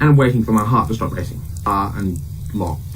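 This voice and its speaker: The speech moves at a very fast pace with lively intonation. Noticeable background noise and audible room echo fill the recording. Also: man. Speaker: horror story narrator. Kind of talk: reading aloud. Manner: casual, unpolished reading.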